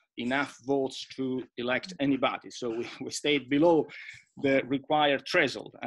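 The delivery runs at a fairly slow pace with fairly even intonation. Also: man. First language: Italian. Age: 50s. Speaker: EU official and former MEP. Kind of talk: panel presentation. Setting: video call. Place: home room. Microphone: webcam.

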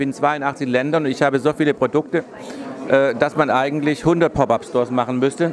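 The speaker talks at a fairly quick pace with ordinary pitch variation over light background noise. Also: man. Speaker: fashion designer and painter. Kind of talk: interview answer. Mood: upbeat, pleased. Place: shop. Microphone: handheld.

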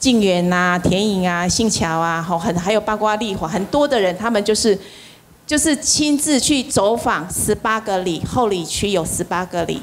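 A woman speaks at a fairly slow pace with lively intonation and medium pitch, over light background noise. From Taiwan. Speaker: event emcee. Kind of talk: emceeing a class. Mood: cheerful, animated. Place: hall. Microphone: handheld.

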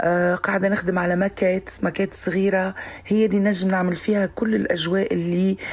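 A woman speaks with monotone, flat intonation and very even loudness. She leaves hardly any pauses. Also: moderate pace. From southern Tunisia. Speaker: singer; guest. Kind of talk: recorded interview clip. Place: studio. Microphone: studio mic.

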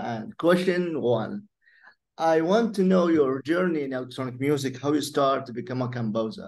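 A man with an Arabic accent at a fairly slow pace, amid audible room echo. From Iraq. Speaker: podcast host. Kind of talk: interview.

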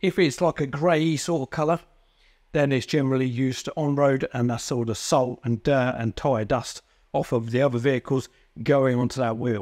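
A man speaks at a moderate pace with ordinary pitch variation. The background is quiet. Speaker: presenter. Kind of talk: tutorial. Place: workshop. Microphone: lapel.

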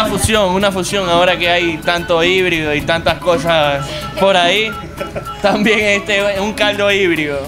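A man's high-pitched voice at a fairly slow pace over clear background music. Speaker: cafe co-owner. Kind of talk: casual interview answer. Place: kitchen. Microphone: handheld.

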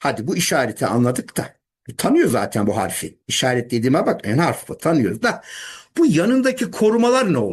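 A man with a high pitch talks at a moderate pace, his pitch swinging very widely. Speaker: English teacher. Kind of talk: lecture. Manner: animated.

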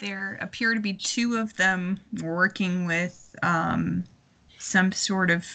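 A woman speaks at a medium pitch with a fairly bright tone.

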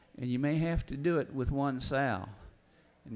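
This is a man speaking. He has a rural Missouri accent. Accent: Midwestern US rural (Missouri). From northeast Missouri. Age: 60s. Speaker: farmer and farm writer. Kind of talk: seminar talk. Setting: stage with audience.

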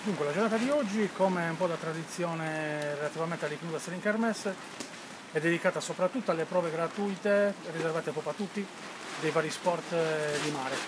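A man at a fairly quick pace, fairly high in pitch, with ordinary pitch variation over clear background noise.

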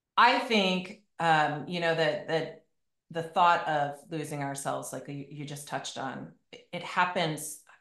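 Against a quiet background with audible room echo, a woman speaks very slowly in a very deep, low pitch with ordinary pitch variation. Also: big swings in loudness. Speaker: podcast host and fitness coach; podcast host, fitness coach. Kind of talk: casual chat. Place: home room. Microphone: video call.

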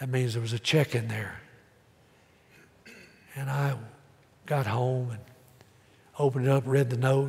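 A man speaks with a Southern US accent in a flat monotone. His pace is moderate. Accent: Southern American. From Tennessee. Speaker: pastor. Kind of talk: sermon preached to congregation. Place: church.

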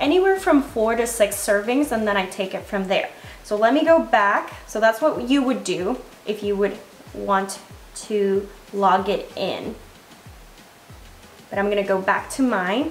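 A woman speaks with ordinary pitch variation and long, frequent pauses. There is audible room echo and light background noise. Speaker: fitness creator. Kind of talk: tutorial. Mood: friendly, upbeat. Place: kitchen.

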